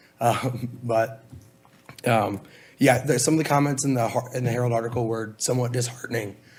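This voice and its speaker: A man's medium-pitched voice, fairly quick and monotone, with noticeable background noise. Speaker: college student and volunteer firefighter. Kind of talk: public comment at meeting. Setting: public board meeting. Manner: hesitant, many fillers.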